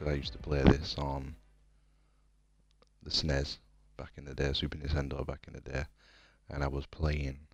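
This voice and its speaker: Quiet and very deep, a man's voice stays monotone and flat, with vocal fry, big swings in loudness, and long, frequent pauses. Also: moderate pace. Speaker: gaming streamer. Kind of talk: casual live stream chat. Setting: home, late at night. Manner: quiet, speaking low.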